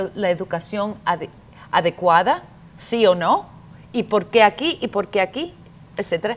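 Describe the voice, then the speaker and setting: A woman speaks at a fairly slow pace. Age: 50s. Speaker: activist; talk show guest. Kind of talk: debate. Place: studio. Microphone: lapel.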